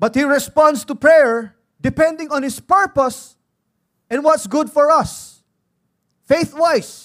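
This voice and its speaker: In a Filipino accent, a man speaks at an extremely high pitch and a very slow pace, with ordinary pitch variation and long, frequent pauses, in a very clean recording with a silent background. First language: Tagalog. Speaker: pastor. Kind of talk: sermon. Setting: church.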